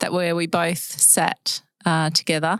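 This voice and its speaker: A woman with an Australian accent and a fairly low pitch, in a very clean recording with a silent background. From Western Australia. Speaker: podcast host. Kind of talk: scripted introduction; casual chat.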